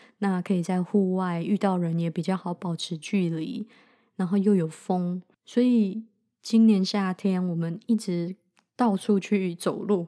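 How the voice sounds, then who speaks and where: A dark, mellow tone with fairly even intonation on a very clean recording with a silent background. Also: woman, medium pitch for a woman, fairly slow pace. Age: 30s. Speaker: podcast host, medical student. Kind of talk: casual unscripted monologue.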